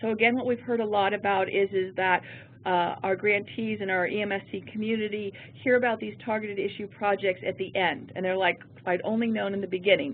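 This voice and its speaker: Speaking at a fairly quick pace, a woman keeps her medium-pitched voice fairly even in intonation. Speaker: federal program branch chief. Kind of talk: webinar presentation. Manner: fast.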